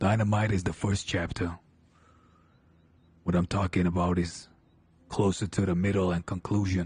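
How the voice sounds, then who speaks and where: A man speaks in a put-on character voice, very deep and low, at a moderate pace. His intonation is monotone and flat, broken by long, frequent pauses. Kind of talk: Western roleplay drawl. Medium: game stream. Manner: measured, scheming.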